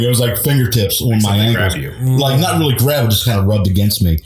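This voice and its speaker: Over noticeable background noise, a man talks very fast. His medium-pitched voice has lively intonation. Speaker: guest sharing ghost stories. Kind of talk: podcast interview answer. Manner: casual, hesitant.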